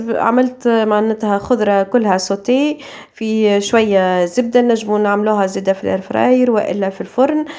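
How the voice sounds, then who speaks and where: A woman with a Tunisian accent at a fairly quick pace and fairly high pitch, with noticeable background noise. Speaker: cooking youtuber. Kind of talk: cooking vlog. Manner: casual, hesitant with fillers.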